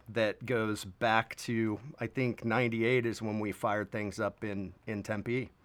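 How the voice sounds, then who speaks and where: A man speaks in an unremarkable speaking voice at medium pitch, with fairly even intonation and a fairly slow pace. The recording is very clean, with a silent background. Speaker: musician and videographer. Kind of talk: casual interview.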